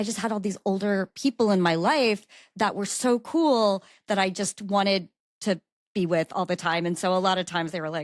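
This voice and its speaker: In a dry, close sound with no echo and a quiet background, a woman speaks at a moderate pace with a medium pitch and ordinary pitch variation. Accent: Mid-Atlantic American. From Maryland, Baltimore County. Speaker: lawyer. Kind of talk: podcast interview.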